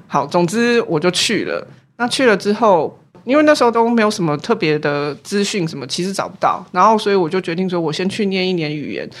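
On a very clean recording with a silent background, a woman with an ordinary speaking voice talks fairly quickly at a medium pitch with lively intonation. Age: 40s. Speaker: professor of artifact conservation. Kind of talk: casual interview.

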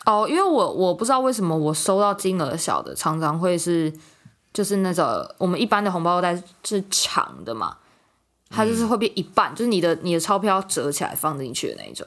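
With lively intonation, an ordinary speaking voice goes at a fairly quick pace. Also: woman, medium pitch for a woman. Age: 20s. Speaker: podcast co-host. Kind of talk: casual chat.

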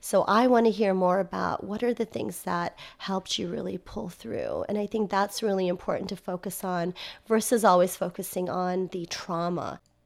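A woman with an American accent and vocal fry, medium pitch, moderate pace and hardly any pauses. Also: ordinary pitch variation. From United States. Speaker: social worker and university lecturer. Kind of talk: interview.

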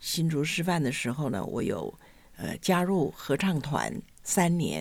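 A woman talks at a fairly slow pace in a very deep, low voice with vocal fry and lively intonation. The recording is very clean, with a silent background. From Taiwan, Hsinchu. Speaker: retired school administrator. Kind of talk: interview. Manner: hesitant, many fillers.

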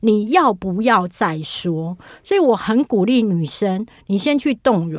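Speaking fairly slowly, a woman lets her pitch swing very widely. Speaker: writer and internet influencer. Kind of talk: casual interview chat.

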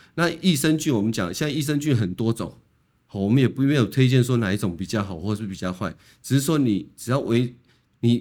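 A man with a medium-pitched voice speaks at a fairly quick pace with very wide pitch swings, on a very clean recording with a silent background. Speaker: colorectal surgeon. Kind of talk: medical interview. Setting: studio.

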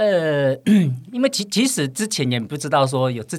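A plain, everyday voice speaks at a fairly slow pace with lively intonation. The recording is very clean with a silent background. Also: man. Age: 50s. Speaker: trail runner. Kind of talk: interview chat.

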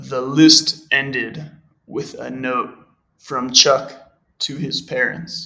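A man speaks with an American accent at a very slow pace. His loudness swings a lot. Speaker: podcast guest, native English reader. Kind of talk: reading aloud.

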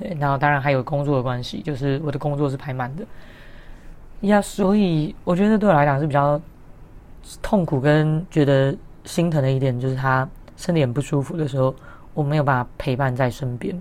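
A woman speaks in a very deep, low pitch at a fairly quick pace, with ordinary pitch variation. Her speech has long, frequent pauses. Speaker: podcast host. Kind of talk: casual solo podcast talk. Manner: cheerful, upbeat.

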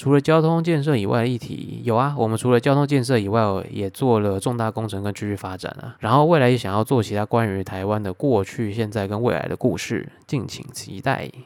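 A man with a Taiwanese accent talks at a fairly quick pace with hardly any pauses. His voice is at a medium pitch with ordinary pitch variation. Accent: Taiwanese Mandarin. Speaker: YouTuber. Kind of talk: casual Q&A podcast monologue. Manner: slurred, words run together.

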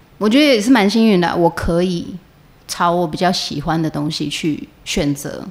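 A woman talks at medium pitch and a fairly slow pace. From Taiwan, Changhua. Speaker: stage and screen actress. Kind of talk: interview conversation.

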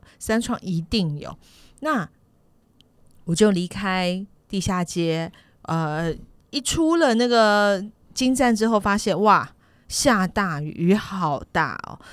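A woman's medium-pitched voice at a very slow pace, with long, frequent pauses, lively intonation and big swings in loudness, on a very clean recording over a silent background. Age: 50s. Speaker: podcast co-host. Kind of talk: casual chat.

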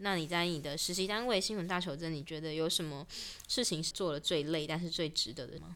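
The delivery runs at a fairly quick pace. It is a plain, everyday voice, and its pitch varies in an ordinary way. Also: woman, fairly low pitch for a woman. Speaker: student radio podcast host. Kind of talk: casual interview.

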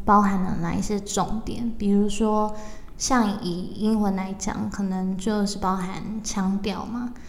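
A woman at a medium pitch, speaking very slowly, with audible room echo. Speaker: podcast host. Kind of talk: interview.

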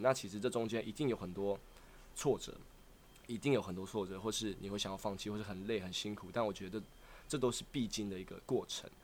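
A man speaks at a very fast clip in a fairly low voice. His pitch rises and falls in an ordinary way. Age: 20s. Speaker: aspiring singer-dancer and rapper. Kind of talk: casual interview chat.

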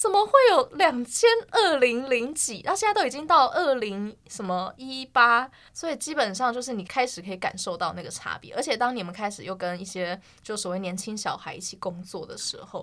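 A woman speaks at a moderate pace with a fairly high pitch, very wide pitch swings, and big swings in loudness. The recording is very clean, with a silent background. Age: 30s. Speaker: podcast co-host. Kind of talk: casual chat.

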